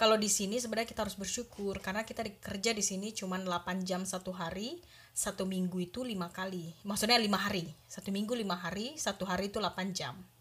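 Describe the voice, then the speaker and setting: Her intonation is fairly even. The woman talks at a very fast pace. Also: medium pitch for a woman. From Indonesia, Medan (North Sumatra). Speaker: cook. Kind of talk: casual interview.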